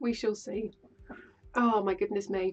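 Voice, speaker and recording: A woman with an English Midlands accent speaks at a fairly high pitch while music plays in the background. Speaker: quilting streamer. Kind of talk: live stream chat. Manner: chatty and animated.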